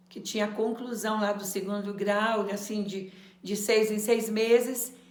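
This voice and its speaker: A woman speaks at a fairly high pitch with monotone, flat intonation and big swings in loudness. Noticeable background noise and audible room echo surround her. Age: 70s. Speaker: adult education former student. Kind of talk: testimony.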